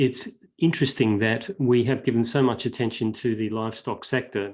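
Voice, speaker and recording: Medium-pitched man with an Australian accent, fairly quick pace, quiet background. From Western Australia, Perth. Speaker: veterinary researcher and animal advocate. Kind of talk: online talk. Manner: hesitant with many fillers.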